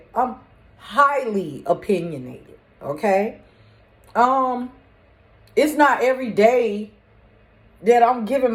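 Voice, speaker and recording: A woman with a fairly high pitch speaks with lively intonation. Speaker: spiritual medium vlogger. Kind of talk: casual monologue. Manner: loud.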